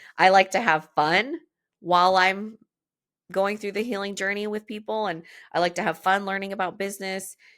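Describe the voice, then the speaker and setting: The recording is very clean, with a silent background. A woman with a medium pitch speaks in an animated tone at a moderate pace. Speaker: podcast host and business coach for movement professionals. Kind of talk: solo podcast monologue. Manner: loud.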